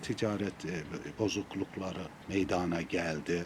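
There is noticeable background noise while a man is talking. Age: 70s. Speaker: former footballer. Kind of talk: memorial statement to press.

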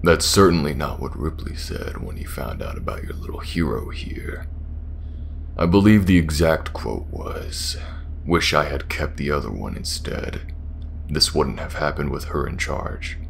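With clear background noise behind him, a man performs a put-on character voice. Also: moderate pace. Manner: sneering, mocking, menacing.

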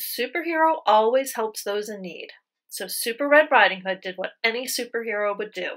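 Lively intonation marks a natural reading voice. Nothing much stirs in the quiet background.

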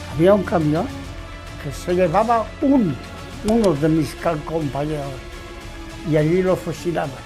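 A man's high voice with lively intonation and long, frequent pauses over clear music in the background. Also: fairly slow pace. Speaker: war veteran. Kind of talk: interview answer. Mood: earnest, emotional recollection. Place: home room.

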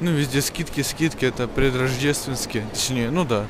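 A man talks at a moderate pace with fairly even intonation. The sound is dry with no echo, with noticeable background noise. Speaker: tech video blogger; tech vlogger. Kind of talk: travel vlog. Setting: outdoors walking. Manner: casual, filler-heavy. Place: shop. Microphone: phone near.

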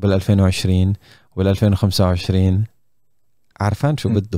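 Fairly low, dark, mellow male voice at a fairly slow pace, in dry, close sound with no echo. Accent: Levantine. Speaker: podcast host. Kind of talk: casual chat. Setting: video call. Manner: animated.

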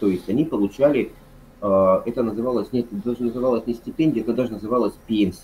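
A man talks at a very fast pace with fairly even intonation. His tone is dark and mellow, over light background noise. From Yakutia, Russia (Yakutsk); Yakutia, Russia. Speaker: history lecturer. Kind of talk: casual chat. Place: home room. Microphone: video call.

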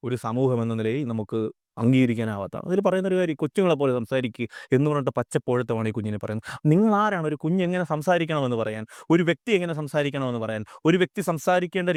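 A man's voice makes very wide pitch swings in a dry, close sound with no echo, on a very clean recording with a silent background. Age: 30s. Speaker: social commentator. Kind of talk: video monologue.

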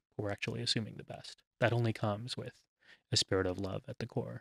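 A man with an American accent talks at a fairly quick pace. The sound is dry with no echo, and the background is quiet. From Texas, USA. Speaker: scholar and human rights activist; podcast guest. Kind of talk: interview answer. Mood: earnest, warm. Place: studio. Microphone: studio mic.

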